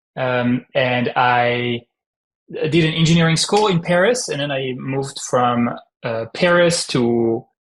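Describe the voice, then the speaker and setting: A man's medium-pitched voice with a strong French accent, ordinary pitch variation and a very slow pace. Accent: heavy French. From France. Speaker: startup founder. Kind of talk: podcast interview.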